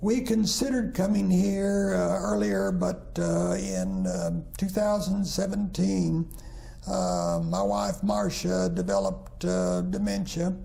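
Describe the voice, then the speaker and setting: A man with an American accent speaks at a very slow pace with very even loudness, and audible room echo surrounds him. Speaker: retired minister. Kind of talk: interview. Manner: halting, many fillers.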